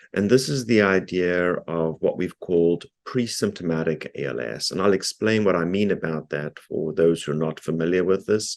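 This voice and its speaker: A man with a South African accent and a very deep, low pitch, ordinary pitch variation, moderate pace and a quiet background. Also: hardly any pauses. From South Africa, Cape Town. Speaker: neurologist and researcher. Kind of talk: lecture. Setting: video call. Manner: frequent filler ums.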